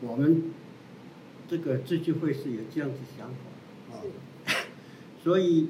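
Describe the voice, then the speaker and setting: Audible room echo on a man's speech with ordinary pitch variation. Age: 60s. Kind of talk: interview. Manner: halting, many fillers.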